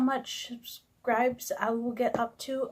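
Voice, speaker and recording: This woman's voice sits at a high pitch. She mumbles her words. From Canada. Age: 20s. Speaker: sign language vlogger. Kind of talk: casual vlog introduction. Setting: recording alone to camera. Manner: mumbling; hesitant, many fillers.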